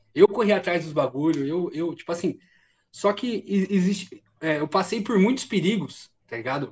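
With lively intonation, a man speaks in a high pitch for a man. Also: moderate pace, big swings in loudness. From Brazil, São Bernardo do Campo (São Paulo ABC region). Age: 30s. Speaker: streamer and content creator. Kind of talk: casual interview chat.

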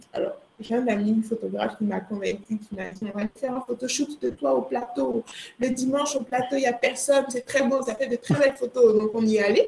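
A woman with a high pitch speaks at a fairly quick pace and ordinary pitch variation. There is noticeable background noise. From Ivory Coast. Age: 20s. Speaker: entrepreneur. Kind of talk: interview.

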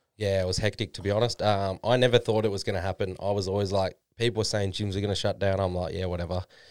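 Talking at a very fast pace with an Australian accent, a man keeps a monotone, flat intonation on a very clean recording with a silent background. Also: fairly low pitch for a man, hardly any pauses. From Australia, Melbourne. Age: 20s. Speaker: online fitness coach. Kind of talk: casual chat.

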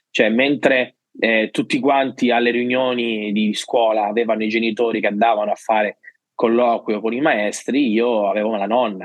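Monotone and flat in intonation, a man talks at a moderate pace and medium pitch. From Sicily, province of Palermo. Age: 30s. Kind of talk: testimony.

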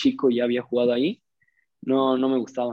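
This man's pitch sits in the middle range. He talks in a monotone, flat way. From Mexico, Ciudad Juárez. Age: young. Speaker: footballer. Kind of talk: casual interview.

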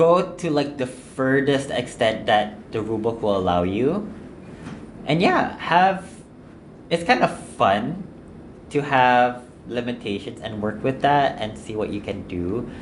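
A man at a medium pitch, with very wide pitch swings, long, frequent pauses and audible room echo. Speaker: podcast co-host. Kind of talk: casual chat.

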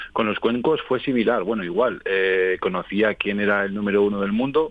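This man has an ordinary speaking voice, pitched fairly low, with ordinary pitch variation. He talks at a moderate pace. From Spain, Aragón (Calatayud). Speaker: singing bowl therapist. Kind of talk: radio interview.

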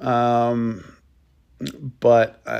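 A man at a medium pitch. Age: 40s. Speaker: podcast host and stay-at-home parent. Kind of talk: casual solo monologue.

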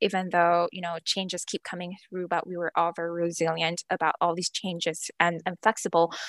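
Recorded dry and close with no echo, a woman talks at a moderate pace in a fairly low voice. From Malaysia. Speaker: career and university guidance counselor. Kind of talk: casual interview.

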